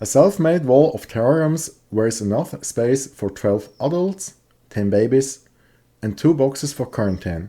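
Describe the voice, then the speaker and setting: In a very clean recording with a silent background, a man with a Swiss accent speaks at a medium pitch in a dark, mellow tone, making very wide pitch swings. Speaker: reptile hobbyist youtuber. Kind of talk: video tutorial. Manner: halting.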